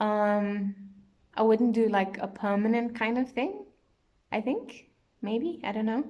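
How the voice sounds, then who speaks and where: Long, frequent pauses in a dark, mellow tone with fairly even intonation. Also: woman, fairly high pitch for a woman. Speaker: beauty vlogger. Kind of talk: casual product review vlog. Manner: hesitant, many fillers.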